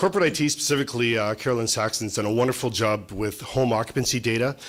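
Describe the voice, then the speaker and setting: Amid noticeable background noise, a man talks very fast at a medium pitch. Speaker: municipal operations manager. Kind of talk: staff presentation at a council workshop. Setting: meeting room.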